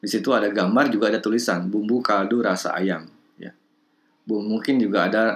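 This is a plain, everyday voice. It goes along fairly quickly. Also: man. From Bandung, West Java, Indonesia. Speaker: lecturer in language and literature, also editor and writer. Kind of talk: online lecture to participants. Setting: video call with screen shared. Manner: formal, thoughtful, with filler sounds.

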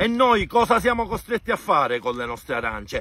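In a dry sound with no echo, a man with a bright, sharp tone and vocal fry swings his pitch very widely while keeping a moderate pace. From Sicily. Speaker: farmer. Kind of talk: angry protest talk to camera. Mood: angry and frustrated. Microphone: phone near.

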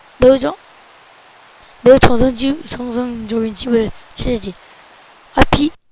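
A woman talks at a high pitch with ordinary pitch variation, at a very slow pace with long, frequent pauses. Noticeable background noise is present. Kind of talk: gameplay commentary. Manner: animated.

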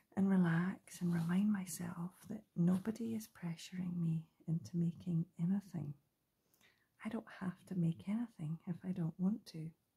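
At a moderate pace, the voice comes across as soft-spoken. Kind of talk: casual craft chat. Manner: soft, hushed ASMR talking. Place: home room.

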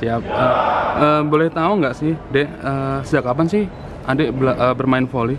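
Over loud background noise, a man speaks at a moderate pace. His pitch is fairly high, with ordinary variation. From Madiun, East Java; East Java. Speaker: YouTube vlogger interviewer. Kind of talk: casual interview. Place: hall. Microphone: phone near.

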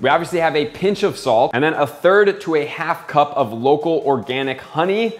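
A man speaking at a moderate pace. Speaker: home cook host. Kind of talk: cooking tutorial. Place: kitchen.

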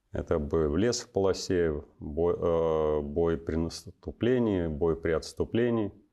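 In a quiet background, a man speaks very slowly at a very deep, low pitch, with a dark, mellow tone and ordinary pitch variation. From western Russia, Smolensk region; Russia. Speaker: army officer and university lecturer; guest. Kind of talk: interview. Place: studio.

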